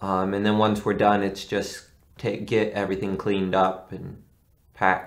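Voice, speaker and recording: Flat, monotone delivery from a man at a moderate pace, fairly low in pitch, over a quiet background. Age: 20s. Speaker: amateur film actor and writer; amateur film actor. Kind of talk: casual interview.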